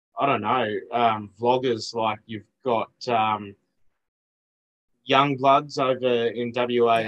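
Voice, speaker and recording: Very slowly, a man speaks with monotone, flat intonation. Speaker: podcast guest. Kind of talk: interview answer. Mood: relaxed, laughing. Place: home room.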